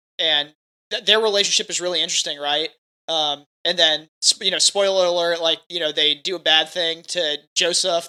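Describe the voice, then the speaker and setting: On a very clean recording with a silent background, a man speaks loudly at a fairly quick pace, his voice high for a man, bright and sharp in tone, with fairly even intonation. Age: young. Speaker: podcast co-host. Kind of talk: casual chat.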